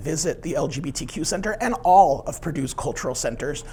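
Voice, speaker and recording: A man speaks in a high pitch with ordinary pitch variation. Noticeable background noise runs underneath. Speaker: university center director. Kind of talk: invited talk.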